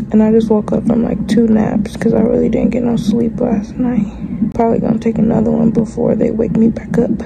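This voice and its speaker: Loud background noise runs under speech delivered at a fairly quick pace. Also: woman. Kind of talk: casual vlog chat. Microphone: phone near.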